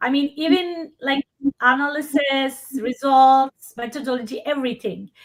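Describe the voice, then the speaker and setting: A woman speaks with a non-native accent at a high pitch. Her pace is fairly slow. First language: not English. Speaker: workshop presenter, hospitality researcher. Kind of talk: live webinar Q&A.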